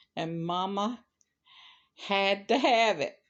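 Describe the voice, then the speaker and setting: A woman talks with a Southern US accent. Her pace is very slow. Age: 70s. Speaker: crocheter and storyteller. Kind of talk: story reading.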